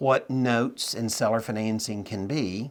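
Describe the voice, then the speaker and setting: A man speaks at a fairly slow pace with fairly even intonation, in an ordinary speaking voice. The recording is very clean, with a silent background. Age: 60s. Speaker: note investor and trainer. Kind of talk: interview.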